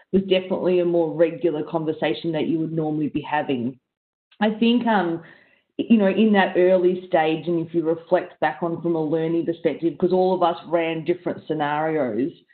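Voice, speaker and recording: A normal speaking voice from a woman, fairly low in pitch with ordinary pitch variation, at a fairly quick pace against a quiet background. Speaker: panelist. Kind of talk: panel discussion answer. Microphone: video call.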